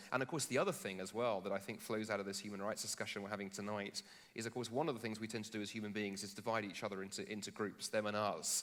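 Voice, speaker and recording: A man's very fast, fairly low-pitched talk with hardly any pauses, in a British accent. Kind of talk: public dialogue on stage. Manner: animated, with false starts.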